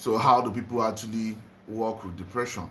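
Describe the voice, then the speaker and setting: A man speaks at a medium pitch with a Nigerian accent. Audible room echo surrounds his voice. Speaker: spiritual livestreamer. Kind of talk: live stream talk to viewers. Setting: home livestream, just woke up.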